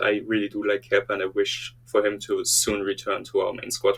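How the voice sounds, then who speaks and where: A man is speaking. Music plays in the background. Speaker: football commentary YouTuber. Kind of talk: casual opinion talk to camera.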